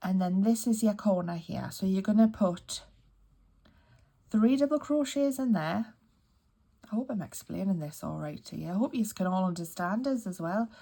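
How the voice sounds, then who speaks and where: With a Geordie accent, a woman speaks at a medium pitch and moderate pace in a dark, mellow, somewhat breathy tone, her intonation lively and her pauses long and frequent. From northeast England (Newcastle area). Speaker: crochet youtuber. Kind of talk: tutorial. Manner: casual, chatty.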